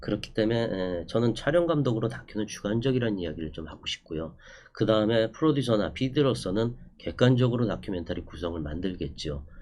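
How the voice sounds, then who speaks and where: A man talks at a fairly quick pace with a fairly low pitch. His pitch swings very widely, and room echo is audible. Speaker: documentary cinematographer and lecturer. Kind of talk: online lecture. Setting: recorded online class. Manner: fast; hesitant fillers.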